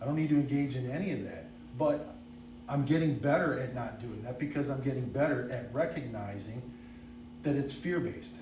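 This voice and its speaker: Audible room echo surrounds a man mumbling at a fairly quick pace and a medium pitch. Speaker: recovering alcoholic speaker. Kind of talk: testimony.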